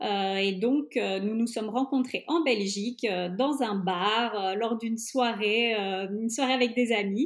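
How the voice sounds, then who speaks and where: A woman's fairly high voice at a fairly slow pace, ordinary pitch variation, on a very clean recording with a silent background. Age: 30s. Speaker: traveling mother. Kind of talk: interview. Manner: hesitant with fillers.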